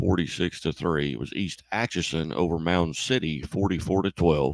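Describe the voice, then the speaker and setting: A man's very deep, low voice with vocal fry and ordinary pitch variation, at a moderate pace, in a dry, close sound with no echo. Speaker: sports radio host. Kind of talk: scoreboard show score reading. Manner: hesitant with fillers.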